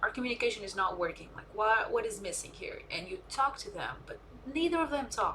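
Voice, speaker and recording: A woman talks with a non-native accent. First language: not English. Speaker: streamer. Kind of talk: casual chat. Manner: halting.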